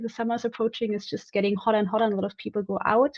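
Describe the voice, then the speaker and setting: Her voice sits at a fairly high pitch for a woman. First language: not English. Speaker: software tester, community member. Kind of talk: casual chat. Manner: halting.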